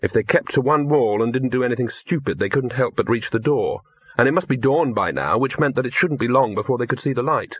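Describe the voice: Plain reading aloud is all the recording holds.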